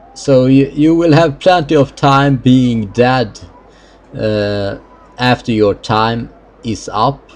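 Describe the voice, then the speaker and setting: A man speaks at a very slow pace with a medium pitch and ordinary pitch variation. Noticeable background noise runs under his voice. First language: Swedish. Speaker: gaming video creator. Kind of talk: let's play commentary. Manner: halting.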